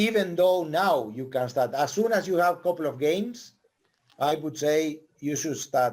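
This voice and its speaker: With a Spanish accent, a man speaks at a very slow pace using lively intonation. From Argentina. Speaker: volleyball coach. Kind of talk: casual chat. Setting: podcast conversation.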